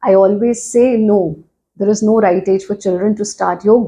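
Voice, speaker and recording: A woman speaks at a moderate pace with an Indian accent. Her medium-pitched voice is dark, mellow and somewhat breathy. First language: Hindi. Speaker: yoga teacher. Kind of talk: interview.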